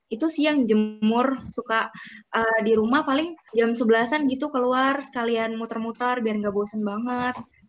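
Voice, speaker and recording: Her intonation fairly even and her pitch fairly high, a woman with a plain, everyday voice talks at a moderate pace. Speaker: student representative. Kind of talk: casual chat. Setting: recorded at home.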